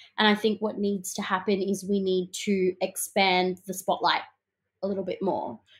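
Monotone and flat, a woman with an Australian accent speaks in a somewhat breathy voice at a moderate pace. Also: medium pitch for a woman. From Melbourne, Australia (south-east suburbs). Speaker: singer-songwriter. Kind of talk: interview.

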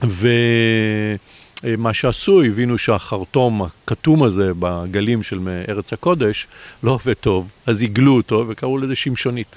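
With ordinary pitch variation and a medium pitch, a man speaks at a very slow pace in a dry, close sound with no echo. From Israel, Bat Yam. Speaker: competitive sailor. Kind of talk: interview. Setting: outdoors.

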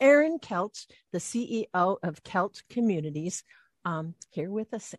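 A woman speaks over a quiet background. The sound is dry and close, with no echo. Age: 60s. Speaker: radio host. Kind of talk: interview.

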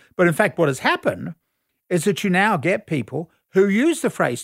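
The recording is very clean with a silent background and a dry, close sound with no echo, as a man with an Australian accent speaks fairly quickly at a high pitch with lively intonation. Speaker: academic commentator. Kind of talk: explanatory discussion. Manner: explanatory, conversational.

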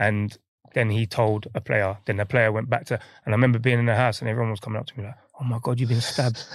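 A man with an East London accent speaks at a very fast pace with a medium pitch and monotone, flat intonation. The recording is very clean, with a silent background. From London, Hackney. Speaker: professional footballer. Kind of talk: casual interview.

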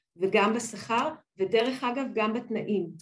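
A woman's fairly high voice comes out somewhat breathy, with ordinary pitch variation. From Israel. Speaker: business partnerships director. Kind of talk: interview.

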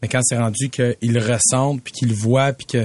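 Dry and close with no echo, the recording captures a man with an ordinary speaking voice at medium pitch and fairly even intonation. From Quebec, Montreal south shore. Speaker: professional football player. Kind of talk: casual chat.

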